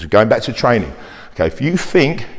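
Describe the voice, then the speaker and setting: Background noise is noticeable. The voice belongs to a man. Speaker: personal trainer. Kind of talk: fitness talk to camera. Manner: fast; animated.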